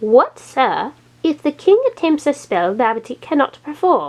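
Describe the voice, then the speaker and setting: Putting on a character voice, a woman speaks at a moderate pace with a high pitch and very wide pitch swings. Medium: read story.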